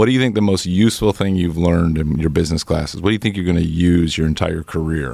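This man speaks with a very deep, low pitch. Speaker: podcast co-host. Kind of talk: interview.

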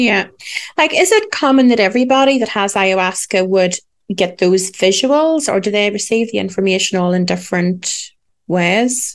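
In an ordinary speaking voice, a woman speaks at a moderate pace with medium pitch and ordinary pitch variation. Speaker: podcast host.

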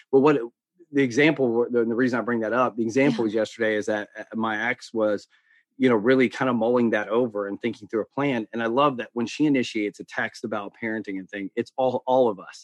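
Over a quiet background, a man talks at medium pitch with fairly even intonation and a dry, close sound with no echo. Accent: American. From US South. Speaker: life coach. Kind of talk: casual chat.

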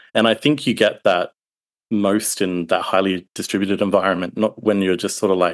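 A man's fairly low voice in an Australian accent at a very fast pace, with fairly even intonation over a quiet background. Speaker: support engineer.

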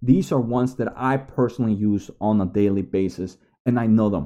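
A man's dark, mellow voice in a Spanish accent. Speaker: YouTuber giving side hustle advice. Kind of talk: tutorial. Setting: home recording to camera.

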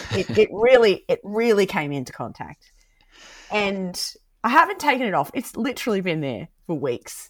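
A woman with an Australian accent at medium pitch and a moderate pace, with vocal fry, very wide pitch swings and big swings in loudness, on a very clean recording with a silent background. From rural Queensland, Australia. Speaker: pastor. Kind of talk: casual chat.

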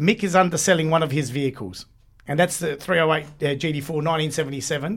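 A man with an Australian accent, fairly high in pitch, talking at a very fast pace with ordinary pitch variation. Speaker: podcaster and car enthusiast. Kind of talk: casual chat. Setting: studio.

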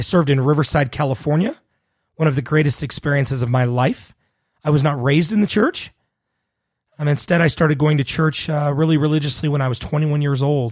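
Somewhat breathy, with a Western US accent, the voice moves at a very fast pace with fairly even intonation. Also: man, fairly high pitch for a man. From Utah (Salt Lake City). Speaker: podcast host, HR professional. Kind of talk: casual monologue.

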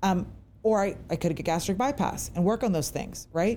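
A woman with an American accent speaks at a fairly slow pace, her pitch swinging very widely. Vocal fry runs through her voice. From US Virginia. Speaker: podcast host. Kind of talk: casual interview chat. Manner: excited, chatty.

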